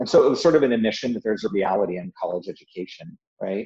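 Talking at a fairly quick pace, this voice has a dark, mellow tone and an American accent. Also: man. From Southern California, Yucca Valley high desert. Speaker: technology executive and university alumnus. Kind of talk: casual interview. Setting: remote interview from home.

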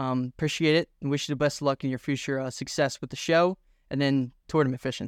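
A man's fairly high-pitched voice with an American accent, very fast and monotone, flat in intonation, on a very clean recording with a silent background. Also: dry, close sound with no echo. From Philadelphia, US. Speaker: fishing podcast host. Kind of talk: casual interview.

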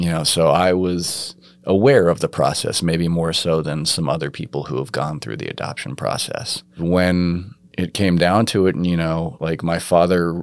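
At a moderate pace, a man with an American accent speaks in a very deep, low pitch. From New York. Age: 30s. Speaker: adoptee, artist. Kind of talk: personal testimony interview. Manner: hesitant, many fillers.

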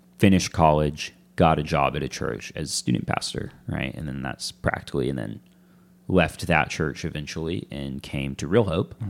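A man speaks in a very deep, low voice with vocal fry and ordinary pitch variation. His pace is moderate, and his loudness swings widely. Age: 20s. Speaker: church family pastor. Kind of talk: casual interview chat.

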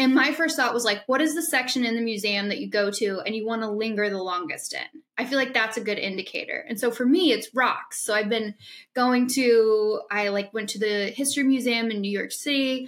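A woman's fairly high, plain, everyday voice in an American accent, with ordinary pitch variation, moving at a fairly quick pace with hardly any pauses. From Illinois. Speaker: podcast host. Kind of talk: casual chat.

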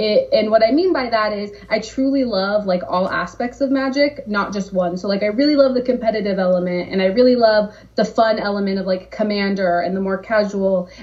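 A woman with a Californian accent speaks at a medium pitch with ordinary pitch variation. She leaves hardly any pauses, and there is noticeable background noise. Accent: General American (Californian). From Southern California. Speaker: game brand marketer. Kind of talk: casual interview.

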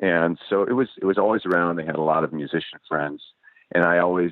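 This man has an American accent. Ordinary pitch variation runs through his speech. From Los Angeles. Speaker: singer-songwriter. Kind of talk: casual interview.

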